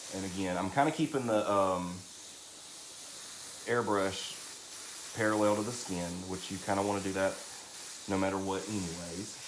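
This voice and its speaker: A man with a Southern accent speaks at a moderate pace with long, frequent pauses in a fairly low voice, with noticeable background noise and audible room echo. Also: ordinary pitch variation. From US South, Alabama (St. Clair County). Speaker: drag queen and makeup artist. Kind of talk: live makeup tutorial. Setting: live stream. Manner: chatty, talkative.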